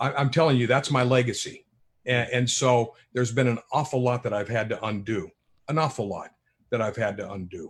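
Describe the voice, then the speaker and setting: A man talks at a fairly quick pace in a medium pitch with ordinary pitch variation and a somewhat breathy quality. The recording is very clean, with a silent background. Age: 60s. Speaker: author. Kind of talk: panel discussion. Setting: live streamed show.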